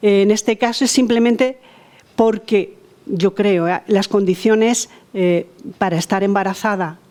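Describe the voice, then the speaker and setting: A woman's voice with ordinary pitch variation. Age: 60s. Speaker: participant in discussion group. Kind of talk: personal testimony in group discussion. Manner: halting, many fillers and repetitions.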